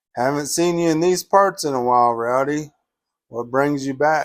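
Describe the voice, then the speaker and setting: A man puts on a gruff character voice, fairly high in pitch with ordinary pitch variation. He talks at a moderate pace. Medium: read story.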